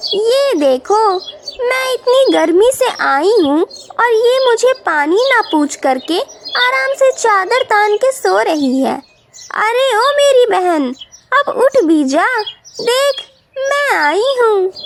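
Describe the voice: A cartoonish character voice from a woman, extremely high in pitch, at a fairly slow pace.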